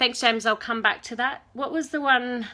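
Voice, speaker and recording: A woman's high-pitched voice, bright and sharp, fairly quick and fairly even in intonation, on a very clean recording with a silent background. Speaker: tennis fan vlogger. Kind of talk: live-stream Q&A. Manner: fast.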